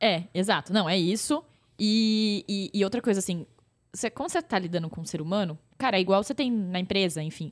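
A woman with an ordinary speaking voice talks at a fairly quick pace and medium pitch, with ordinary pitch variation, in a very clean recording with a silent background. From interior of São Paulo state, Brazil (Pirajuí). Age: 30s. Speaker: influencer marketing entrepreneur. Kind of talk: casual interview. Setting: in-person studio recording.

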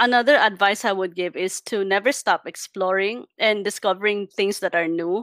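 A woman with a Filipino accent talks at a moderate pace at a medium pitch, with fairly even intonation and hardly any pauses. The sound is dry and close with no echo, on a very clean recording with a silent background. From Philippines. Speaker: UI designer. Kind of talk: casual interview.

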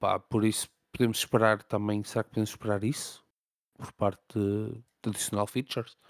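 In a European Portuguese accent, a man speaks in a fairly low, monotone, flat voice, the sound dry and close with no echo on a very clean recording with a silent background. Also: moderate pace. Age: 30s. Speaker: gaming podcast host. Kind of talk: casual chat.

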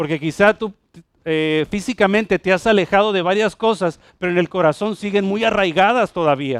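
A man with a high pitch speaks at a moderate pace in an animated tone, with ordinary pitch variation. The sound is dry and close, with no echo. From Puerto Rico. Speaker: pastor. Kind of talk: sermon, preaching to a congregation with a friendly, teaching tone. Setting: church with congregation. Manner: animated, conversational, direct address to the congregation with humor and repetition.

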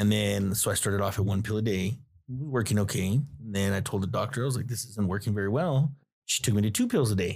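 Speaking at a very fast pace, a man with a fairly low, somewhat breathy voice and ordinary pitch variation is heard on a very clean recording with a silent background. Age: 30s. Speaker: guest, father. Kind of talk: casual chat.

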